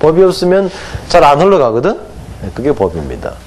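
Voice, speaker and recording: An animated man's voice with a slight Gangwon accent, audible room echo and noticeable background noise. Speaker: hanja teacher. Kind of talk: lecture. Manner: animated, asks students questions.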